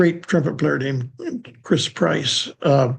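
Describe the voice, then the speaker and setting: A somewhat breathy voice with an American accent at a fairly slow pace. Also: man. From California. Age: 80s+. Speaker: jazz bassist. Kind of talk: interview. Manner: halting, many fillers.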